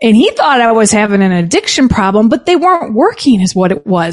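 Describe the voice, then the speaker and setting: Here a woman speaks with a fairly high pitch. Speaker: business founder and advocate. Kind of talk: casual interview.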